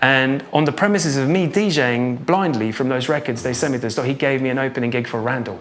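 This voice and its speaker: A man with a medium-pitched voice and ordinary pitch variation talks at a fairly quick pace, with audible room echo and noticeable background noise. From Norway. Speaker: drum and bass producer and DJ. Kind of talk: interview. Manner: halting.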